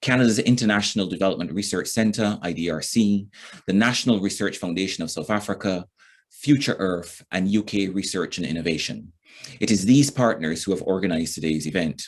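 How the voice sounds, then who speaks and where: A man speaks with a Barbadian accent and a fairly low pitch. The background is quiet. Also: ordinary pitch variation, fairly quick pace. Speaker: event moderator. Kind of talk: formal event opening speech. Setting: recorded online session. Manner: formal.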